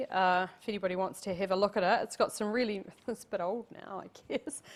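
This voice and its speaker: A woman with a New Zealand accent talks at a very fast pace in a very clean recording with a silent background. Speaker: tourism professional and city councillor. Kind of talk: guest lecture to university class. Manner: casual, conversational.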